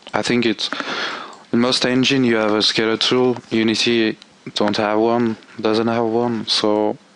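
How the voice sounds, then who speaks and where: A man speaks at a fairly slow pace in a medium pitch, his intonation monotone and flat, with noticeable background noise behind him. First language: not English. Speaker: game tool developer. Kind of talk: software tutorial. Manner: halting.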